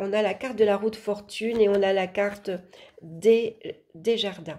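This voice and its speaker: With a dark, mellow tone, a woman talks at a fairly slow pace and a medium pitch. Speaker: tarot reader, astrologer. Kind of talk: tarot horoscope reading. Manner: hesitant, with fillers.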